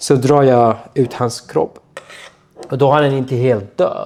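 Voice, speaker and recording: A man talks with a medium pitch. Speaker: torture survivor. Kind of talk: personal testimony.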